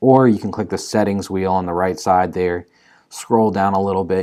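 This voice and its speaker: A very deep, low male voice in monotone, flat intonation, on a very clean recording with a silent background. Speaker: marketing tutorial presenter. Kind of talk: tutorial. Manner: fast.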